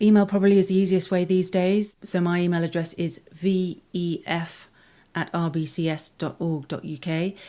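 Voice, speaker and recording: In a very clean recording with a silent background, a woman speaks in a southern English accent at a moderate pace. Her medium pitch carries a dark, mellow tone and fairly even intonation. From southwest London. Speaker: school foundation director. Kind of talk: interview. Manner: halting, many repeated words.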